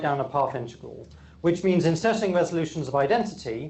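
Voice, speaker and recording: A man with an English accent speaks at a high pitch with ordinary pitch variation, and audible echo fills the room. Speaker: physicist. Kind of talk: lecture. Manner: frequent fillers and repetitions.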